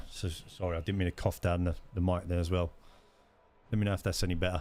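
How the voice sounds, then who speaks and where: In a very clean recording with a silent background, a man with a very deep, low pitch talks at a very fast pace with fairly even intonation. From London. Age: 30s. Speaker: gaming streamer. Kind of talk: live gameplay commentary.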